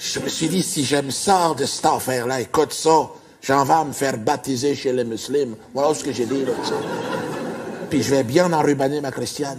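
A man with fairly even intonation over light background noise. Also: moderate pace. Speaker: stand-up comedian. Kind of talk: comic stage monologue in a character voice. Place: stage. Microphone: lapel.

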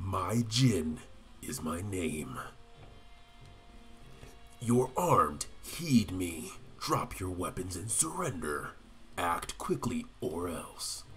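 In a put-on character voice, a man speaks at a very slow pace with a very deep, low pitch and long, frequent pauses, over clear background noise. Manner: dramatic, commanding.

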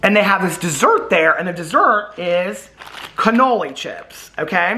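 A man's raised, projected voice with lively intonation. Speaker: vlogger. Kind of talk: casual vlog chat. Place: home room. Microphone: phone near.

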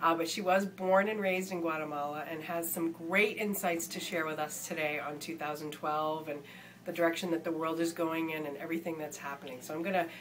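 A woman with fairly low pitch speaks at a fairly quick pace in a normal speaking voice, her intonation fairly even. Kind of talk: casual video interview host.

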